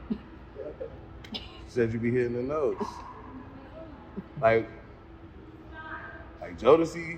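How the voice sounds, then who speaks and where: A man with a fairly high voice talks very slowly, his lively intonation broken by long, frequent pauses, over noticeable background noise and audible room echo. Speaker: interviewer. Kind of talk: casual interview.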